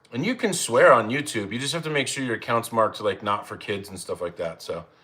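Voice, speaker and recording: A man in an American accent rattles off words very fast amid noticeable background noise. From Arizona (Phoenix). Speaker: cooking livestreamer. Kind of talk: casual livestream chat. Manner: casual, rambling.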